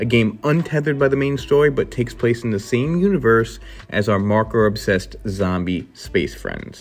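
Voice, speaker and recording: Somewhat breathy, a man with an American accent talks at a moderate pace and medium pitch, his intonation lively. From New York, Queens. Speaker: gaming YouTuber. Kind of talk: scripted video commentary. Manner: animated.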